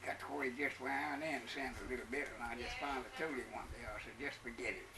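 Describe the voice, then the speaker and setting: Background noise is noticeable. Over it, a man talks very fast. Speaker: former prison guard. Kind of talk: interview answer.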